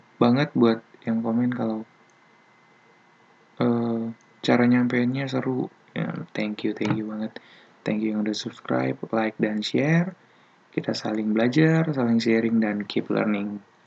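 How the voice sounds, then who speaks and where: Soft-spoken and fairly slow, a man talks at a medium pitch with ordinary pitch variation. Long, frequent pauses break up his speech over noticeable background noise. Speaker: programming tutorial youtuber. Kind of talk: tutorial. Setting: at home at night. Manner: soft-spoken, quiet; casual slang-heavy.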